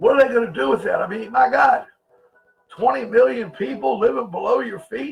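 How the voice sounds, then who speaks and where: Over background music, a man shouts loudly in a high voice, his animated delivery swinging very widely in pitch at a moderate pace. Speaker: conspiracy livestream host. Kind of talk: livestream talk to chat viewers. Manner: loud, sounds like yelling; animated, emphatic.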